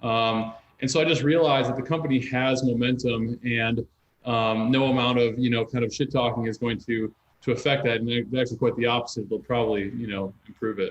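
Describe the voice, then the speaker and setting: A man with an American accent talks fairly quickly at medium pitch with fairly even intonation, in an ordinary speaking voice. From US Midwest, Madison, Wisconsin. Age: 30s. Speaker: entrepreneur. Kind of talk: casual chat.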